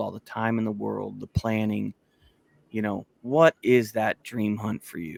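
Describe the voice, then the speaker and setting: His delivery is fairly slow. The audio is dry and close, without any echo. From Missouri, US Midwest. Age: 30s. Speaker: podcast co-host, hunter. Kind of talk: casual chat. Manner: halting, many fillers.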